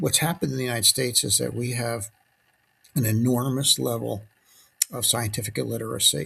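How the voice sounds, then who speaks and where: With vocal fry and a bright, sharp tone, a man speaks at a fairly quick pace in a medium pitch with ordinary pitch variation. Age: 70s. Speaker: physician commentator. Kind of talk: reflective monologue. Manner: halting, with fillers.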